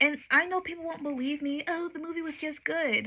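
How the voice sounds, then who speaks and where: She is soft-spoken, with a high voice and a bright, sharp tone. The woman keeps to a moderate pace. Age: 20s. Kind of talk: ASMR soft-spoken rant to camera.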